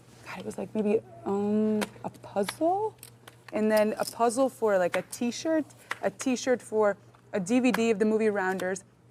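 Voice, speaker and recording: A woman with a fairly high pitch and ordinary pitch variation talks at a moderate pace as noticeable background noise fills the recording. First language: French. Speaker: poker player. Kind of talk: casual chat.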